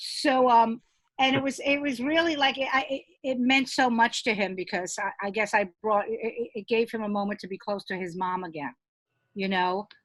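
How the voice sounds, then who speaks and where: With an American accent, a woman speaks at a moderate pace in a fairly high pitch with lively intonation. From New York (Brooklyn). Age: 60s. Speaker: comedian. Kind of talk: casual chat. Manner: halting, many repeated words.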